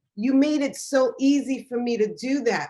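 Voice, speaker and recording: Speaking very slowly, a woman talks with an American accent. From Haitian background, US (Miami). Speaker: film festival programmer and interviewer. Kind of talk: interview Q&A. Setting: video call.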